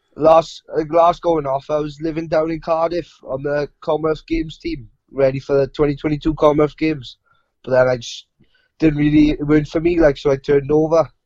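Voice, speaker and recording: In a South Wales Valleys accent, the speaker talks at a moderate pace with monotone, flat intonation. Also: man, fairly high pitch for a man. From South Wales, Rhondda. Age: young. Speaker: professional boxer. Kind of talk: interview.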